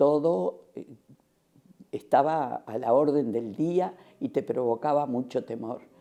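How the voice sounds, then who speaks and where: A woman speaks in a dark, mellow tone. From Uruguay, Montevideo. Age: 80s+. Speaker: retired schoolteacher, housing cooperative member. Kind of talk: oral history interview. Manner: halting, with many fillers.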